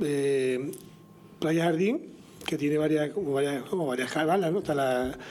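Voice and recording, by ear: A man speaks at a fairly slow pace with a fairly high pitch. His tone is slightly mellow, with ordinary pitch variation.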